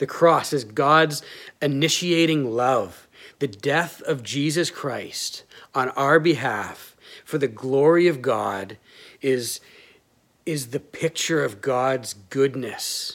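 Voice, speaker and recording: Very clean, silent-background recording of a man at a fairly high pitch, talking at a very slow pace. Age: 30s. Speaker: pastor. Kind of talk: sermon.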